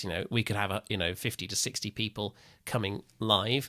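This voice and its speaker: A man with a fairly low pitch talks at a fairly quick pace, his tone bright and sharp with ordinary pitch variation. The recording is very clean with a silent background, dry and close with no echo. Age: 30s. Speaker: assistive technology trainer. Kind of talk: interview.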